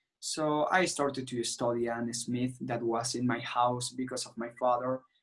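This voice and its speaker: A man speaks with a Venezuelan accent at a medium pitch. His pace is moderate and his intonation fairly even. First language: Spanish. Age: 20s. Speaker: political activist. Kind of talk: interview. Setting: video call. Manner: halting.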